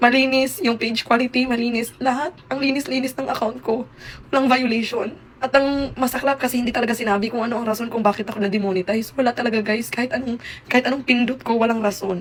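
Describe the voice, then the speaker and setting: A woman speaks at a very fast pace in a high voice over noticeable background noise. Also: fairly even intonation. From Visayas, Philippines. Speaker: content creator. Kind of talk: vlog update.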